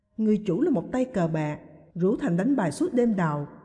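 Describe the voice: The clip consists of plain reading aloud.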